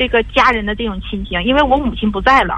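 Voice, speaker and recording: Noticeable background noise around a woman's fairly quick speech. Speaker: radio call-in caller, divorced mother. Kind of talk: call-in advice conversation. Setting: phone call. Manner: forceful, assertive tone; halting, repetitive.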